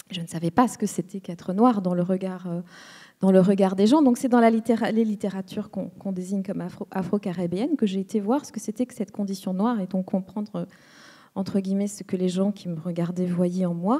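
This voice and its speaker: With a dark, mellow tone and a somewhat breathy quality, a woman talks at a fairly quick pace in a medium pitch with ordinary pitch variation. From Rwanda. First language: Kinyarwanda (speaking French). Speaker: writer on a literary panel. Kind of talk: panel discussion. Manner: halting, many hesitations and repetitions.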